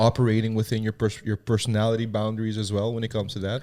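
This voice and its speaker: A man talks at a very fast pace. The recording is very clean, the background silent. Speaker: podcast host and gym owner. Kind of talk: casual chat. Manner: loud; animated.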